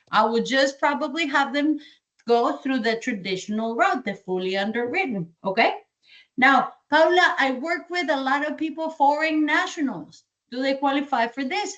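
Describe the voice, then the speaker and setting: With a slight Colombian accent, a woman talks in a high pitch and lively intonation. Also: moderate pace. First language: Spanish. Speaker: sales trainer. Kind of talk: training session.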